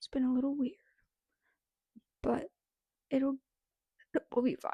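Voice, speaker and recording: A soft-spoken woman's high-pitched voice with a dark, mellow tone. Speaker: book vlogger. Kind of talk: casual chat.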